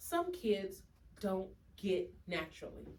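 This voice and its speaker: Loud and animated, a woman speaks with very wide pitch swings. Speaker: educational consultant. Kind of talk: workshop presentation.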